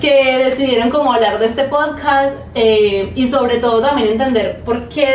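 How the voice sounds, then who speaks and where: Fairly even intonation at a moderate pace comes through audible room echo and noticeable background noise. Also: woman. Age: 20s. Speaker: podcast co-host. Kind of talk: casual podcast conversation.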